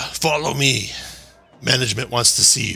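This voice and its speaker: A raspy put-on character voice from a man at a medium pitch and a moderate pace. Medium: actual play. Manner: terse.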